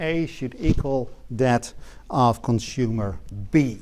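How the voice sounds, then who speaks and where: A man speaks in a dark, mellow tone with lively intonation. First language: not English. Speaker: economics lecturer. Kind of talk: lecture. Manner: hesitant, many filler words.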